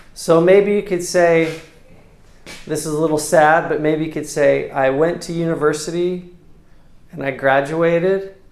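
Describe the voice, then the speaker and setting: With an American accent and a high pitch, a man talks at a fairly slow pace with fairly even intonation and long, frequent pauses, over noticeable background noise. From United States. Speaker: English teacher. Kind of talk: casual English lesson dialogue.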